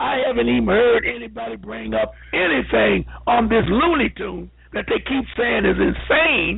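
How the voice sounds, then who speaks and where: A moderate pace over music in the background. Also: man. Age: 70s. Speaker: caller. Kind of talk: call-in discussion. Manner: animated.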